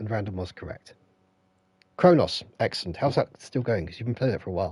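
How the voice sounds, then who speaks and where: A somewhat breathy man with a British accent talks at a very fast pace and medium pitch, with lively intonation and big swings in loudness. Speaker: gaming streamer. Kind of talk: live stream chat. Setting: live stream with headset.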